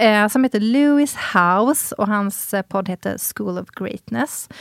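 The recording is very clean, with a silent background. It's a plain, everyday voice at a fairly slow pace with ordinary pitch variation. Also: woman. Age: 40s. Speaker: podcast co-host. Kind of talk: casual chat.

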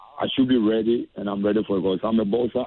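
A man with a Ghanaian accent, fairly low in pitch, with fairly even intonation. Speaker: professional boxer. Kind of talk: interview.

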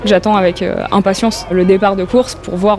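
Delivered at a moderate pace in a flat, monotone way, this voice comes with noticeable background noise. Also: woman. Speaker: accident survivor. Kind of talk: testimony.

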